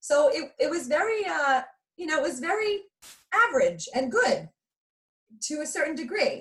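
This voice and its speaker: A woman's lively intonation in a New York accent. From New York, Long Island. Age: 40s. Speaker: motivational speaker. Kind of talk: interview.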